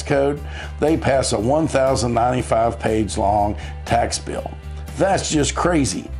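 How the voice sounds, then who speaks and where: Over music in the background, a man with an American accent speaks in an upbeat tone with very wide pitch swings. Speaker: tax attorney. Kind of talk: informational explainer to camera. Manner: friendly, upbeat, conversational.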